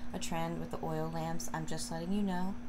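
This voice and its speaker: Noticeable background noise sits behind this woman's moderately paced speech. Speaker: home decor vlogger. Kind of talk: casual vlog chat. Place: home room. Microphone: phone near.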